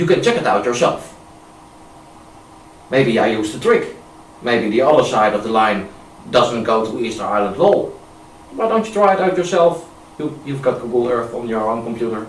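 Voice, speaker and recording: A man with a Dutch accent speaks at a medium pitch and a moderate pace, his intonation lively and his pauses long and frequent, against noticeable background noise. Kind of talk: amateur video narration with screen demonstration. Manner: hesitant, casual.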